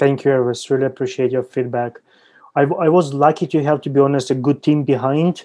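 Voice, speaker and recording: Speaking at a very fast pace in a Ukrainian accent, a man uses a fairly high voice with a dark, mellow tone and fairly even intonation. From Ukraine. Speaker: entrepreneur. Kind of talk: interview.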